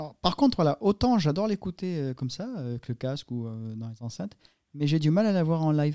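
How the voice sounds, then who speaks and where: Recorded very cleanly with a silent background and a dry, close sound with no echo, a man speaks fairly quickly in a dark, mellow tone, with a fairly high pitch and very wide pitch swings. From southern France. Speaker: podcast host. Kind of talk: casual chat.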